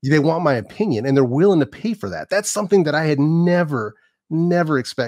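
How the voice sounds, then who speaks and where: In a dry, close recording with no echo and a quiet background, a man with a plain, everyday voice speaks fairly quickly at a fairly high pitch, his intonation lively. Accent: American. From San Francisco Bay Area, California. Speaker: YouTuber. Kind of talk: casual chat.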